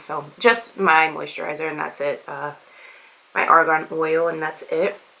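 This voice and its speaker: Noticeable background noise runs under the recording. A woman speaks at a moderate pace in a very deep, low pitch. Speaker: beauty vlogger. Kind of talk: product review tutorial. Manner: casual, halting with fillers.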